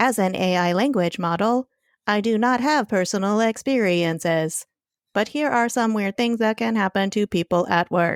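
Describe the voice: This robotic, put-on character voice sounds female, with medium pitch for a woman and a moderate pace.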